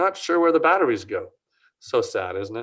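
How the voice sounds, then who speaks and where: Speaking fairly quickly, the man is heard against a quiet background. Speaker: print industry consultant. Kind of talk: Q&A answer; webinar presentation. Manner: fast.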